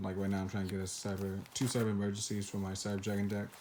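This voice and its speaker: Very fast speech over noticeable background noise. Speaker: card collector vlogger. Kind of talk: casual show-and-tell video. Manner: hesitant, many fillers.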